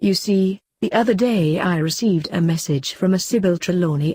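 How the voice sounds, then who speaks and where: A female-sounding put-on character voice at a middle pitch moves along at a moderate pace. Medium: read story. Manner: genial, grandfatherly.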